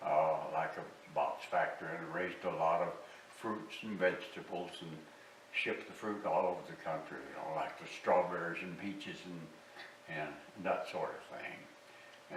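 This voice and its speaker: With a Southern US accent, a man speaks at a very deep, low pitch and a fairly slow pace, with ordinary pitch variation. There is audible room echo and noticeable background noise. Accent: Southern US rural. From US South, southwest Arkansas. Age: 90s. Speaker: war veteran, musician interviewee. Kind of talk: oral history interview. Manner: halting, many fillers.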